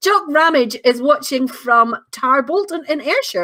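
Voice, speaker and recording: A woman with a Northern Irish accent speaks in a bright, sharp tone with lively intonation. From Northern Ireland. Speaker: online show host. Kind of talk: live-stream chat, reading viewer comments. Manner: casual, chatty.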